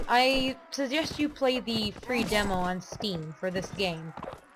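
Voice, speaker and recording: Noticeable background noise under a woman's voice, her pitch swinging very widely. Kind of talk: gameplay commentary.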